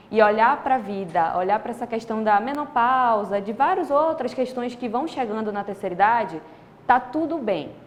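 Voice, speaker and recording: Her voice an ordinary speaking voice, a woman talks at a fairly high pitch with lively intonation. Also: moderate pace. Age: 20s. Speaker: interviewer. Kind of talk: interview.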